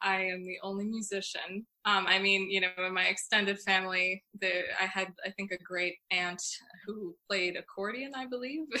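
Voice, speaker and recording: Here is a woman with an American accent in a normal speaking voice. She keeps a medium pitch and a moderate pace. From Long Island, New York (Northport). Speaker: flutist and composer. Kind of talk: interview.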